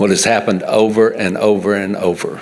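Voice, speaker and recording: A man speaks with a Mississippi accent at a medium pitch. Noticeable background noise sits behind him. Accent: US South, Mississippi. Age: 70s. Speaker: farmer. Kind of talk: public comment. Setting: public meeting. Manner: animated.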